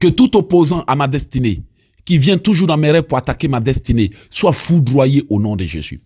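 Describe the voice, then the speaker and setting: With an Ivorian accent, a man speaks at a moderate pace in a fairly high pitch, his dark, mellow tone somewhat breathy. His pitch swings very widely, and the recording is very clean with a silent background. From Ivory Coast. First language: Abé (speaking French). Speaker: evangelist preacher. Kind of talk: sermon and teaching with prayers.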